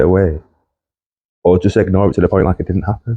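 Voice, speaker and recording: At a fairly quick pace, a man talks with a very deep, low pitch and a dark, mellow tone, the sound dry and close with no echo against a quiet background. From northern England, Lancashire. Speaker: podcast host's husband, guest. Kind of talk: casual chat. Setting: podcast recording.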